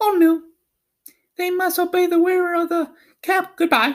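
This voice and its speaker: Putting on a squeaky character voice, a man talks at a moderate pace with an extremely high pitch. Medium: read story. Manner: kindly, brisk.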